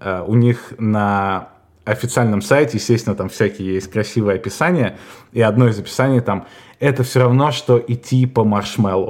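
Medium pitch with ordinary variation in a man's normal speaking voice. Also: moderate pace. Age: 30s. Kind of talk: casual chat. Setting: call.

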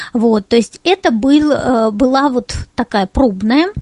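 The sound is close and dry, without any echo. A woman talks with ordinary pitch variation. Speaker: head of a tourism accessibility organization, blind tour guide. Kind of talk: webinar presentation. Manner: clear, well-structured speech.

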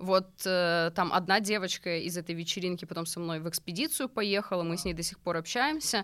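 A woman with an ordinary speaking voice talks at a fairly quick pace with hardly any pauses, her fairly low pitch varying in an ordinary way, in a very clean recording with a silent background. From Russia, small settlement. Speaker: YouTube show host, travel organizer. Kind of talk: casual chat.

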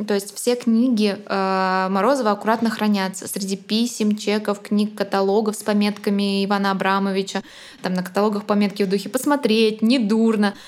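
A woman speaks at a moderate pace with a monotone, flat intonation. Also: medium pitch for a woman. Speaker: art podcast co-host, art historian. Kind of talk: casual chat with lecture-like explanations. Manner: solemn, lofty.

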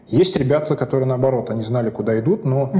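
Noticeable background noise runs under a man talking very fast at a medium pitch. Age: 40s. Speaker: chief technology officer. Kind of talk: interview.

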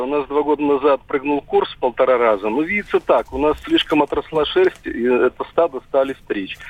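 A man with a fairly high voice speaks fairly quickly while noticeable noise sits behind him. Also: hardly any pauses. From Mari El, Russia. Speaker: radio caller. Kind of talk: phone-in caller. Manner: hesitant, many fillers.

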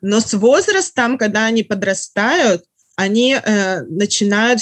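The woman's voice sits at a medium pitch with ordinary variation. She talks at a very slow pace. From Russia. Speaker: writer. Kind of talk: casual chat.

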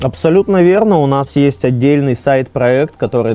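Here a man speaks at a moderate pace with a medium pitch and a dark, mellow tone. His pitch swings are very wide. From Russia, Arkhangelsk. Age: 30s. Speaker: startup co-founder. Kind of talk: podcast interview.

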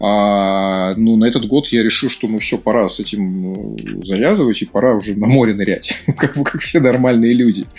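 Music plays in the background as a man speaks with a fairly low pitch and ordinary pitch variation. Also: moderate pace. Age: 40s. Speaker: marketing director. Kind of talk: casual chat.

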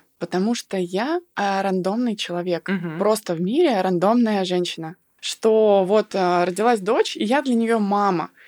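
Here is a woman with an ordinary speaking voice, medium in pitch with ordinary pitch variation. She talks at a fairly slow pace, and the sound is dry and close with no echo. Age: 30s. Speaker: blogger and business coach. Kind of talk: casual chat.

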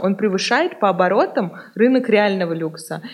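Against a quiet background, a woman with an ordinary speaking voice talks at a fairly slow pace, her medium pitch varying in an ordinary way. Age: 20s. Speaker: co-founder of a resale platform. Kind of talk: interview.

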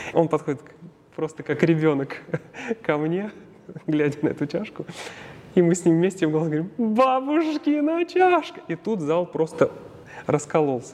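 A man with a high pitch talks at a moderate pace with ordinary pitch variation and long, frequent pauses. Noticeable background noise runs underneath. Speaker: opera tenor. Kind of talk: interview. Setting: theatre foyer.

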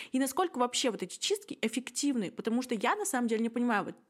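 In a very clean recording with a silent background, a woman with a fairly high pitch and an unremarkable speaking voice speaks with lively intonation. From Russia, Yekaterinburg. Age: 20s. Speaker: podcast host. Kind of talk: casual chat.

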